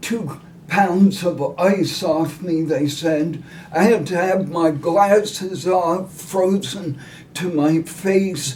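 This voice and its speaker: Over noticeable background noise, a man with a high voice talks very slowly with fairly even intonation. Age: 70s. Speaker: retired teacher and ultrarunner. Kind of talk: interview answer.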